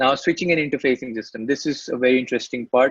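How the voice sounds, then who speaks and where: A normal speaking voice belongs to this man. His pitch is medium, with ordinary pitch variation. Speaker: software product trainer. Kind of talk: webinar tutorial. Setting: online webinar.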